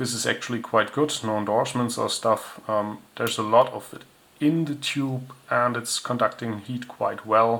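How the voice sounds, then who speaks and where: At a moderate pace, the speaker talks with a non-native accent and fairly even intonation. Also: man. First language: not English. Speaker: tech hobbyist reviewer. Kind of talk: product review. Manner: casual, with hesitations.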